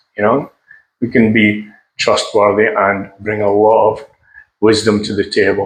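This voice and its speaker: A man talks fairly slowly, with long pauses coming often. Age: 60s. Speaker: seafarer. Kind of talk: casual talk to camera.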